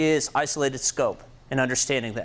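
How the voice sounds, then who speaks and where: With a Kansas accent, a man speaks at a fairly quick pace. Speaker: programming instructor. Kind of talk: tutorial. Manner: casual, with fillers.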